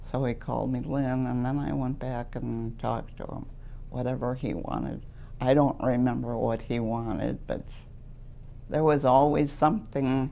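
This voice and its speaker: A woman with an American accent speaks at a moderate pace in a very deep, low pitch and a dark, mellow tone. Her intonation is fairly even, and audible room echo is present. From Wisconsin. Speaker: retired letter carrier. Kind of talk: oral history interview. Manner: loud; talkative, laughs often.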